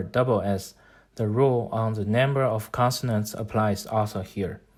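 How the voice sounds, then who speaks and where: A man with a Chinese accent speaks at a fairly slow pace and a medium pitch. His intonation is fairly even, and the recording is very clean with a silent background. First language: Mandarin Chinese. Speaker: language-learning YouTuber. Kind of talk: tutorial. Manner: formal.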